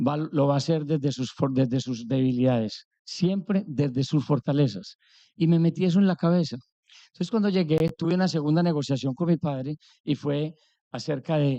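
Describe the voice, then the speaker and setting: This voice with an Antioquian accent moves at a moderate pace in a dark, mellow tone. The sound is dry and close, with no echo. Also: man. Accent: Colombian paisa Spanish. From Colombia, Antioquia (paisa). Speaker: business executive. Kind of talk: conference talk. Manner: animated.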